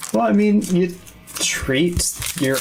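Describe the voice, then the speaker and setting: A soft-spoken man talks at a moderate pace. The room echo is audible, and there is noticeable background noise. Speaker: YouTube card opening streamer. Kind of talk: casual chat on livestream. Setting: livestream. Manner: laid-back, soft-spoken.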